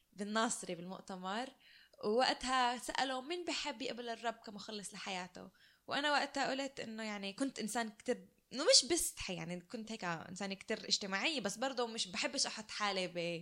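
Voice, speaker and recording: A woman with a fairly high, bright and sharp voice talks at a moderate pace. Her intonation is lively. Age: 20s. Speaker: podcast co-host, occupational therapy student. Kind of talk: casual chat, personal testimony.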